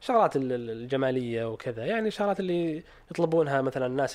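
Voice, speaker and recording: A man speaks in a normal speaking voice. His pitch is medium and his intonation lively. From Saudi Arabia, Eastern Province (Khobar). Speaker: startup founder, 3D printing company. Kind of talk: interview, casual chat.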